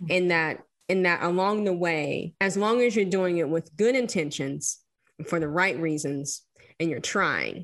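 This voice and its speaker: An ordinary speaking voice with an American accent and ordinary pitch variation. The pace is moderate and the background quiet. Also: woman, fairly low pitch for a woman. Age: 30s. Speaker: historian. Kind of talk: casual chat.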